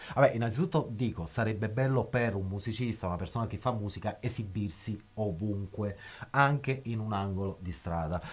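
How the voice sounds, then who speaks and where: Somewhat breathy, a man with a fairly low pitch speaks at a fairly quick pace, with ordinary pitch variation. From southern Italy, northern Naples area. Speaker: musician. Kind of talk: radio interview. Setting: recording studio.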